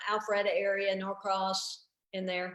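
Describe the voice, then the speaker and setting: A woman of medium pitch with a Southern US accent, in audible room echo. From US South, Tennessee. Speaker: stand-up comedian. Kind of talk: casual interview chat.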